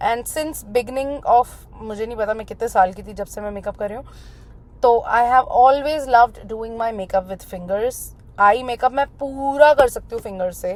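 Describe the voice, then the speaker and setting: At a moderate pace, a woman with a fairly high pitch speaks with big swings in loudness and ordinary pitch variation. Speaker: makeup artist. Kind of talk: tutorial. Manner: Hindi-English code-switching.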